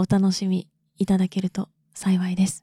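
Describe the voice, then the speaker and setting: In a dry, close recording with no echo, a woman speaks at a moderate pace with medium pitch and a somewhat breathy, dark, mellow tone. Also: very clean recording, silent background. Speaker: solo podcaster. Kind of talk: casual monologue.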